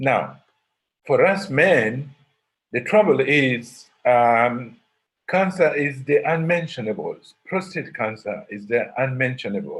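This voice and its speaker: A man's fairly high, somewhat breathy voice at a very slow pace with lively intonation. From Uganda. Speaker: professor. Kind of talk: lecture. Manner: halting, many repetitions.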